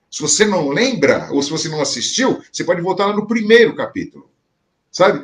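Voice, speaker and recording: Pitched high, a man speaks with very wide swings up and down. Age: 60s. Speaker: pastor. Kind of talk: sermon. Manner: conversational, repetitive filler.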